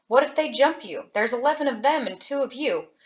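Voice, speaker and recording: A woman puts on a character voice, speaking very fast at a high pitch. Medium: read story. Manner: gruff.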